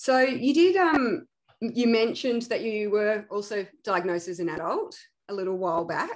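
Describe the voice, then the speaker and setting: Over a quiet background, a woman speaks at a moderate pace with a fairly high pitch and very wide pitch swings. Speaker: podcast host, founder of an ADHD support organization. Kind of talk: casual interview. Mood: warm, friendly. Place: home room. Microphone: earbuds.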